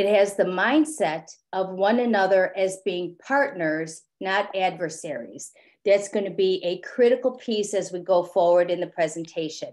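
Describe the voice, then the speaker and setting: A woman speaks with a plain, everyday voice. Her medium pitch shows ordinary pitch variation. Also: moderate pace. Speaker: clinical social worker presenter. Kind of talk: professional webinar presentation.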